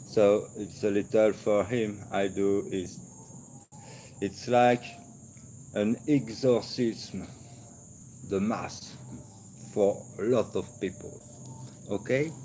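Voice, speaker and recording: A man's fairly low, dark and mellow voice at a very slow pace, with long, frequent pauses. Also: ordinary pitch variation. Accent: French. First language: French. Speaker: esoteric video creator. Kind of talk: monologue lecture on esoteric topics. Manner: halting; searches for words.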